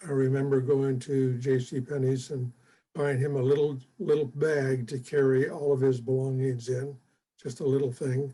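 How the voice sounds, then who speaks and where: With an American accent, a man talks at a moderate pace in a medium pitch, his intonation monotone and flat and his voice somewhat breathy. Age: 80s+. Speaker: retired fire chief and mentor. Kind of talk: interview. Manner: halting, many fillers.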